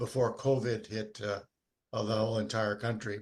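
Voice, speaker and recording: His intonation stays monotone and flat. A man talks at a medium pitch. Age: 80s+. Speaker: retired dividend investor giving a presentation. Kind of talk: presentation to investment club. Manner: halting, many fillers.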